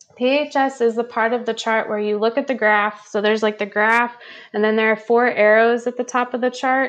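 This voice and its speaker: In a calm tone, a woman speaks at a moderate pace. Her intonation stays fairly even. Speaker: human design reader and intuitive. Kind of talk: casual interview. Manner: calm, grounded.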